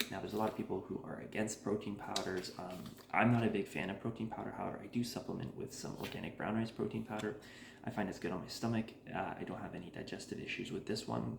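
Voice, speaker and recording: Soft-spoken and fairly low-pitched, a man talks at a very fast pace with ordinary pitch variation in audible room echo. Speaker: cooking channel host. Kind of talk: tutorial. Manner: casual, filler-heavy.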